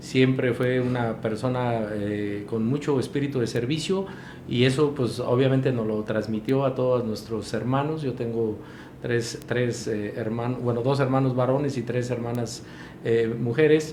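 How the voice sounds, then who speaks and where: Amid noticeable background noise and audible room echo, a man speaks at a fairly slow pace with fairly even intonation. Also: medium pitch for a man. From Mexico, Michoacán (Pátzcuaro). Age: 60s. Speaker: mayor. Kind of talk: interview. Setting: studio, live broadcast. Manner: halting with fillers.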